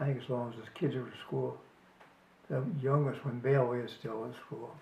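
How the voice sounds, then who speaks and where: At a moderate pace and medium pitch, a man speaks with fairly even intonation and big swings in loudness, with audible room echo and noticeable background noise. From US Northeast, New Jersey. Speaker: family elder interviewee. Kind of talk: casual chat. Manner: halting.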